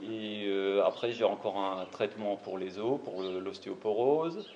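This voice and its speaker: Speaking at a very slow pace, a man with a fairly low pitch shows ordinary pitch variation. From Alsace, France (Marmoutier, near Saverne). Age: 50s. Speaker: cancer patient. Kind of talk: testimony.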